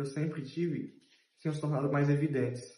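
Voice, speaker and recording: A man's somewhat breathy voice, dark and mellow in tone, with audible room echo. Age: 30s. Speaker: journalism student and intern. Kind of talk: interview testimony.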